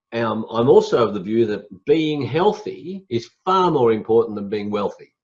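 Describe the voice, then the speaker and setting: This man has an Australian accent and a medium pitch. He talks at a moderate pace with lively intonation. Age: 60s. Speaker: motivational speaker and executive coach. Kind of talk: interview.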